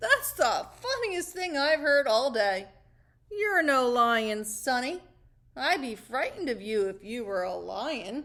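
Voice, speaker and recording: Her pitch is high in an assumed character voice. The woman's delivery is fairly slow. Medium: read story. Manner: teasing, jovial.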